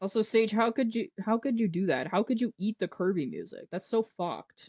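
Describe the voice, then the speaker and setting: At a fairly quick pace, a woman with a fairly high pitch and vocal fry speaks with lively intonation, the sound dry and close with no echo against a quiet background. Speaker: streamer. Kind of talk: casual chat. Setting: live stream.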